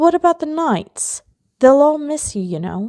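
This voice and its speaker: The put-on character voice moves at a moderate pace with very wide pitch swings and big swings in loudness, recorded dry and close with no echo on a very clean, silent background. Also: woman. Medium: read story. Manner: insistent.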